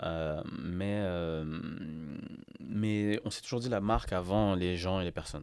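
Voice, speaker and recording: There is no background sound at all, and the audio is extremely clean. The speaker is a man whose pitch is extremely low and deep. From France, Paris (19th arrondissement). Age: 30s. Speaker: company director. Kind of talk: podcast interview.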